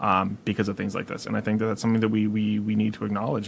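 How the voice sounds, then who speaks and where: This man speaks with a fairly low pitch. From Massachusetts, Worcester County. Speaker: podcast co-host. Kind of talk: casual chat.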